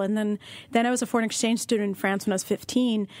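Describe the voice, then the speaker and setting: A woman with an American accent in a very clean recording with a silent background. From United States, Russian-born. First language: Russian. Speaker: author. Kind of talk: interview.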